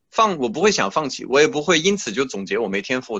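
His pitch fairly high, a man talks at a fairly quick pace with very wide pitch swings. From France. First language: French (speaking Chinese). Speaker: classical musician. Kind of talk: interview. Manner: halting, many fillers.

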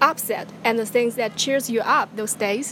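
A woman's fairly high voice in a Chinese accent, fairly slow and fairly even in intonation, with noticeable background noise. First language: Mandarin Chinese. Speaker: podcast host. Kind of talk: casual chat.

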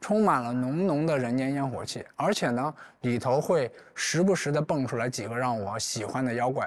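A man with a normal speaking voice talks at a moderate pace and medium pitch, his intonation lively. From China, rural Anhui. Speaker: writer and folklore researcher. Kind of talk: public talk at an event.

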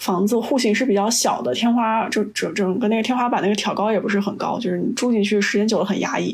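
A woman with a fairly high pitch and an ordinary speaking voice talks at a fairly quick pace with fairly even intonation. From China. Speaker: podcast guest, chemist. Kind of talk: casual chat.

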